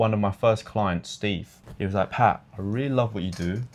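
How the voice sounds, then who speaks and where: An animated man with a British accent and a fairly low pitch. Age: 20s. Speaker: online fitness coach. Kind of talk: interview.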